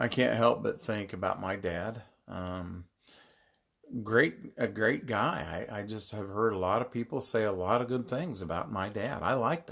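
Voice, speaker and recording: A man speaks at a fairly low pitch. His pitch varies in an ordinary way. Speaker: pastor. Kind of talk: devotional Bible talk. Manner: slow, lazy-sounding; halting, repeats words.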